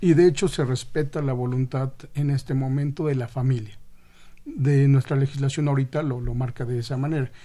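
At a fairly quick pace, a man speaks in a somewhat breathy, dark, mellow tone, with medium pitch and fairly even intonation. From Mexico City (Xochimilco). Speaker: transplant program physician. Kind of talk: radio interview.

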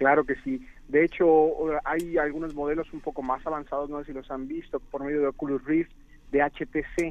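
In a normal speaking voice, a man at a fairly high pitch talks at a moderate pace with fairly even intonation. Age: 30s. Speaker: medical doctor, app project leader. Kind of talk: interview. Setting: phone call.

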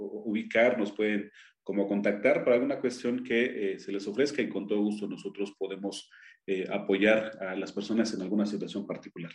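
The speaker talks at a moderate pace with ordinary pitch variation in an Oaxacan accent. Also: man. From Oaxaca, Mexico (Triqui people). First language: Triqui (speaking Spanish). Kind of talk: radio interview. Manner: halting, many fillers.

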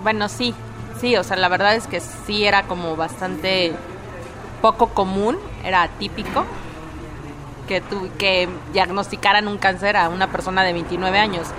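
Music plays in the background as a woman speaks at a fairly slow pace with fairly even intonation and long, frequent pauses. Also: medium pitch for a woman. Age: 30s. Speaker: breast cancer survivor. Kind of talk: testimony.

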